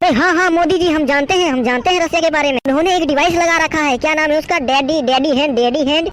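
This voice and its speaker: A high-pitched cartoonish character voice rattles along at a very fast pace. Background noise is clearly audible. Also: hardly any pauses. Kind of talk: comic overacting. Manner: excitable, keeps announcing "latest news".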